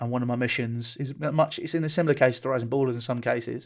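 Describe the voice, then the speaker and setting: At a fairly quick pace, a man with a medium pitch talks in a southern English accent. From southeast England. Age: 20s. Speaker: football club owner and content creator. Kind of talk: interview. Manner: animated.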